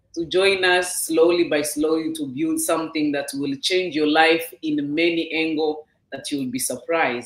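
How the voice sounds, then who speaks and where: The pace is moderate, with hardly any pauses. Pitch varies in an ordinary way. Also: woman. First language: not English. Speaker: business owner sharing her story. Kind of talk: testimony. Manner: halting.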